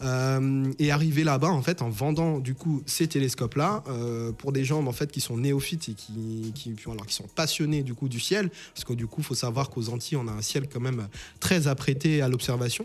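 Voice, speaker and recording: Music plays in the background while a man talks at a moderate pace. His pitch is medium, with ordinary pitch variation. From Saint-Martin, Caribbean. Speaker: entrepreneur. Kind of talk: interview. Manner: halting.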